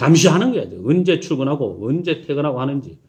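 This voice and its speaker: The intonation is lively. A man delivers his words at a fairly quick pace. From South Korea, Daegu (Gyeongsang). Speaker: pastor. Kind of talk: sermon.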